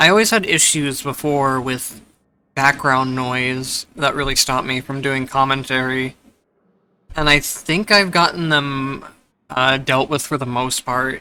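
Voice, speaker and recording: A quiet man's voice at a medium pitch, fairly slow, with ordinary pitch variation. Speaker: gameplay commentator. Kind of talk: casual gameplay commentary.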